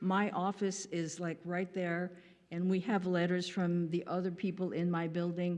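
Her loudness stays very even at a moderate pace. A woman with a fairly low pitch talks in a monotone, flat intonation. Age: 70s. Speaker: public commenter, recording studio owner. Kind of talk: public comment at council meeting. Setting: city council meeting.

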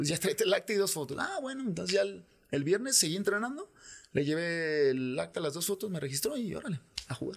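A man's high voice at a fairly quick pace, very wide pitch swings, quiet background. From Guadalajara, Mexico. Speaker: former professional footballer; podcast guest. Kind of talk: casual interview. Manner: halting, many repetitions. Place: studio. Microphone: studio mic.

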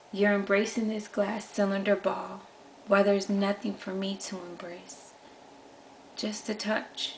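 A woman's monotone, flat intonation over light background noise. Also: medium pitch for a woman, fairly slow pace. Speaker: poet. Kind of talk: poetry performance. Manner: earnest, repetitive, pleading. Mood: soft, melancholic, yearning. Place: home room. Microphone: webcam.

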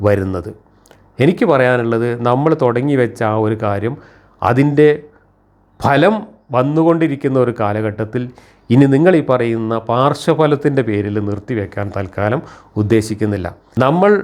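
A man with lively intonation talks in an ordinary speaking voice at a medium pitch. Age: 60s. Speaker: rationalist critic of religion. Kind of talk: monologue commentary.

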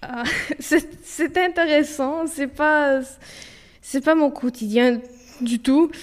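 A woman speaks in a high voice at a very slow pace. She takes long, frequent pauses, and her pitch varies in an ordinary way. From Ontario, Canada (Romanian family). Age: 20s. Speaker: university student. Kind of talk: interview. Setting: office. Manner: halting.

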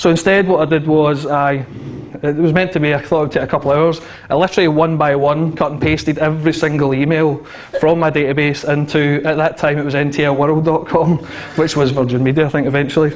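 A man's fairly quick, monotone delivery with flat intonation. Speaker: conference speaker. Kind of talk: conference talk. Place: hall. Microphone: handheld.

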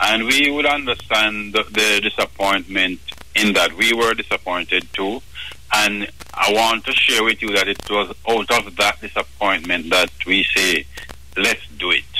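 Through noticeable background noise, a man speaks at a fairly slow pace with a fairly low pitch, ordinary pitch variation and very even loudness. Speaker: business association leader. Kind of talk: radio interview.

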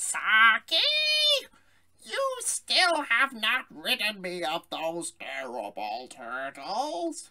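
A man uses a put-on character voice, raised and projected at a high pitch. He speaks very slowly with very wide pitch swings. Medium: voice reel.

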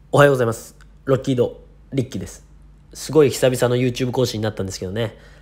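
A somewhat breathy man at a medium pitch talks at a very fast pace. His intonation is fairly even, though his loudness swings widely. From Japan, Niigata. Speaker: YouTuber. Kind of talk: casual vlog monologue. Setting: hotel room in quarantine. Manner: casual, rambling and run-on.

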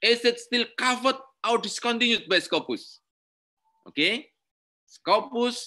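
In an Indonesian accent, a man projects a raised, extremely high-pitched voice with a bright, sharp tone and very even loudness, speaking at a fairly slow pace with long, frequent pauses. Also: ordinary pitch variation, quiet background. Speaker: university lecturer. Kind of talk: lecture.

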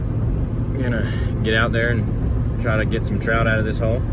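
Loud background noise surrounds a man speaking at a moderate pace, the sound itself dry with no echo. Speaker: fishing vlogger. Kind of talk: casual vlog chat. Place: car. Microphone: phone near.

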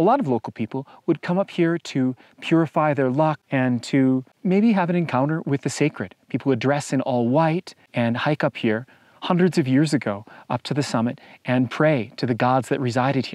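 A man at a moderate pace with ordinary pitch variation, in a dry sound with no echo and a quiet background. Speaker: hiking guide vlogger. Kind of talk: travel vlog commentary. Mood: calm, enthusiastic. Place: open country. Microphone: lapel.

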